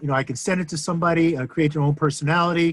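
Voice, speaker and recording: This is a man speaking. His pitch is fairly high. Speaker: software reviewer, agency owner. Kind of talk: software review tutorial. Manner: loud.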